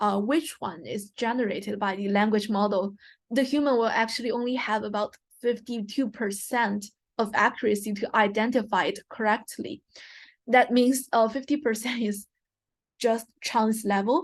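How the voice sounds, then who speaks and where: A woman with a non-native accent, fairly high-pitched and somewhat breathy, at a moderate pace with ordinary pitch variation over a quiet background. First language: not English. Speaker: guest lecturer. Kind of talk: lecture. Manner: hesitant, frequent fillers.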